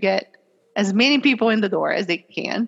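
Speaking at a moderate pace and medium pitch, a woman talks with a Portuguese accent. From Brazil. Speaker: compliance executive. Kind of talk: interview.

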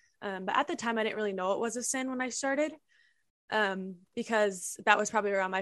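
A woman with an Upper Midwest accent talks at a fairly quick pace. The background is quiet. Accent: Upper Midwest American. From Minnesota, small town. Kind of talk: testimony.

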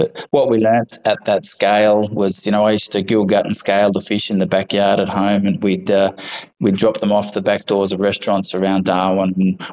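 Fairly quick male speech in an Australian accent, fairly low in pitch, with monotone, flat intonation and very even loudness. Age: 40s. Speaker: fish farmer. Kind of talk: interview. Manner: halting.

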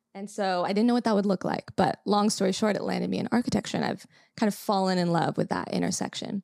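A woman with an American accent talks very fast at a medium pitch, with vocal fry and fairly even intonation. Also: dry, close sound with no echo. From Los Angeles, California. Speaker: company integrator, business operations leader. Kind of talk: casual chat.

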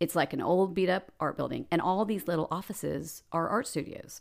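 A woman with an American accent speaks at a moderate pace in a fairly low pitch with vocal fry. The recording is very clean, with a silent background. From Dallas, Texas. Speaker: PR agency owner and painter. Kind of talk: casual interview.

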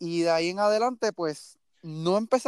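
A man speaks at a moderate pace in a high voice. The sound is dry and close, with no echo. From Puerto Rico, Mayagüez. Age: young. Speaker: sports team social media director. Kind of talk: casual sports chat. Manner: halting, frequent repetitions.

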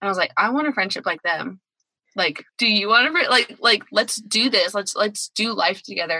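A plain, everyday voice at a fairly quick pace with lively intonation, in a dry, close sound with no echo. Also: woman. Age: 30s. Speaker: podcast producer. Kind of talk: casual chat.

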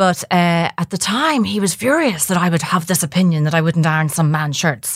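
A woman's fairly low-pitched voice comes through on a very clean recording with a silent background. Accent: Dublin. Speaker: journalist and midlife coach, podcast co-host. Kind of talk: casual chat.

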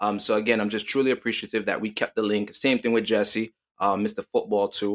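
At a fairly quick pace, a man with a fairly low voice speaks in an American accent, the sound dry and close with no echo. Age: 20s. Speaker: podcast host. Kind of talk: casual chat. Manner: animated.

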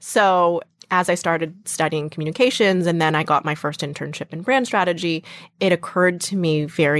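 A woman speaks in a normal speaking voice at a fairly low pitch and moderate pace, with ordinary pitch variation, in an American accent, on a very clean recording with a silent background. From Western Massachusetts, US. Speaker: startup founder. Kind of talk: interview.

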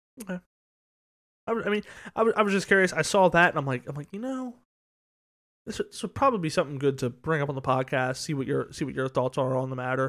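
On a very clean recording with a silent background, a man talks very fast at a fairly high pitch with lively intonation and long, frequent pauses. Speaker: sports podcast co-host. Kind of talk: casual chat. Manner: talkative, fast-paced.

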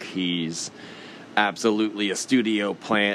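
Over noticeable background noise, a man with an American accent speaks in a very deep, low voice. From Texas. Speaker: podcast host. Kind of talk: commentary monologue.

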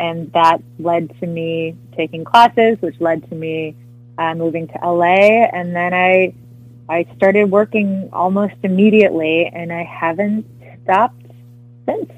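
A woman with a normal speaking voice talks at a fairly slow pace, her fairly low pitch held in a fairly even intonation. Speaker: actress. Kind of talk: casual interview.

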